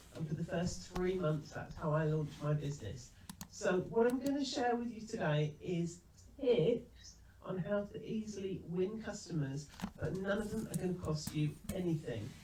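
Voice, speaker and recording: Her pitch fairly low, a woman speaks at a moderate pace with lively intonation as room echo is audible. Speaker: business trainer. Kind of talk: webinar presentation. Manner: calm.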